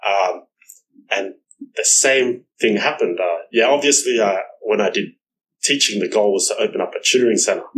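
An Australian accent with long, frequent pauses. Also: man, moderate pace. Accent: Australian-accented Vietnamese. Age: 30s. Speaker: real estate executive, former tutor. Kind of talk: casual interview.

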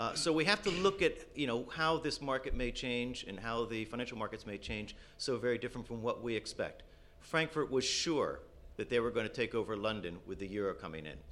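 At a fairly quick pace, a man speaks in an unremarkable speaking voice of medium pitch, with lively intonation. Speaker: business school professor.

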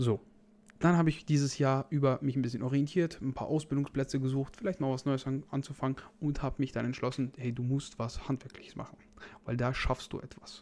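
Fairly even intonation from a man, medium in pitch and fairly quick in pace. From Germany, North Rhine-Westphalia. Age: 20s. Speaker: fitness podcast host and fitness trainer. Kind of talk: solo podcast monologue. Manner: casual.

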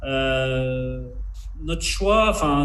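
A man speaking amid audible room echo and noticeable background noise. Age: 40s. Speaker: foil board manufacturer. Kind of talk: interview.

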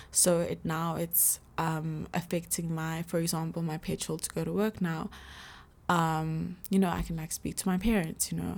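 On a very clean recording with a silent background, a woman speaks at a moderate pace. Her fairly low voice has a monotone, flat intonation. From South Africa. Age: 20s. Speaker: podcast host. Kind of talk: casual monologue. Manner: casual, filler-heavy.

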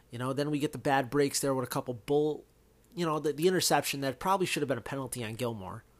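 Speaking very fast, a man with an American accent has a fairly high pitch and ordinary pitch variation. The recording is very clean, with a silent background. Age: 30s. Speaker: sports podcast host. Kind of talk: solo sports commentary. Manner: casual, lots of fillers.

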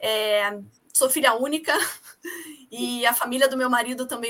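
Raising and projecting her voice, a woman speaks at a fairly slow pace with a high pitch and ordinary pitch variation. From Rio de Janeiro, Brazil. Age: 40s. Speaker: amateur runner and mother. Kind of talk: podcast interview.

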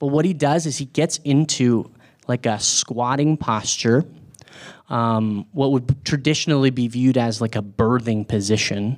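A man with a plain, everyday voice speaks at a fairly slow pace in a medium pitch with ordinary pitch variation on a very clean recording with a silent background. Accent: American. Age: 30s. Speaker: campus ministry speaker. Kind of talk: sermon. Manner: casual, with many filler words.

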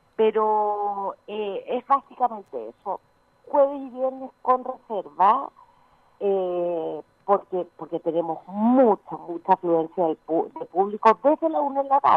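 Spoken at a very slow pace, the delivery carries a lively intonation. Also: woman, medium pitch for a woman. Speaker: winery tourism manager. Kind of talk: phone interview.

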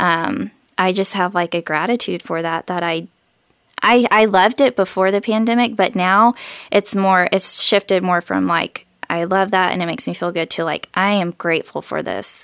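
The speaker has a normal speaking voice, talking at a moderate pace with ordinary pitch variation. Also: woman. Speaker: worship leader and singer-songwriter. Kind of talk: casual interview chat.

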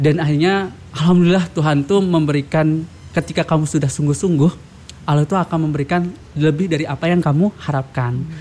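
A man with a fairly high pitch, a very fast pace, very even loudness and fairly even intonation. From Lombok, Indonesia. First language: Sasak (Lombok language) (speaking Indonesian). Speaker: language ambassador. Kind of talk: podcast interview.

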